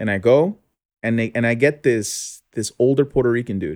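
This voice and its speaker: The recording is very clean with a silent background. A man talks at a moderate pace in a medium pitch. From US, Mexican and Guatemalan family. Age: 20s. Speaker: podcast guest. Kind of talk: personal testimony. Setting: studio. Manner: halting, many restarts.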